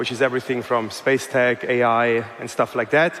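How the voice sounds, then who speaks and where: A fairly quick delivery with a German accent, over noticeable background noise. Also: man. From Germany. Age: 40s. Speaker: investor and entrepreneur. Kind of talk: conference talk. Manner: hesitant, many fillers.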